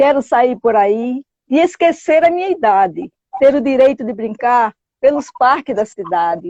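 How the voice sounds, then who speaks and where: A woman with a high pitch and a dark, mellow tone speaks at a fairly slow pace with very wide pitch swings, in a dry, close sound with no echo. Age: 60s. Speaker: storyteller. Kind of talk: poetry reading.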